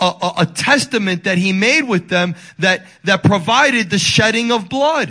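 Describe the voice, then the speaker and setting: Speaking in a raised, projected voice with a bright, sharp tone, a man sounds animated, pitched high and moving at a fairly slow pace. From Dominican Republic. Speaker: pastor. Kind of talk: sermon.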